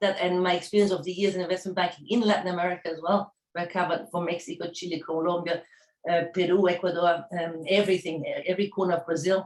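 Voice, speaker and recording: A woman speaks very fast with a German accent. Her intonation is monotone and flat. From Germany. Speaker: startup founder. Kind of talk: pitch presentation. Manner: halting.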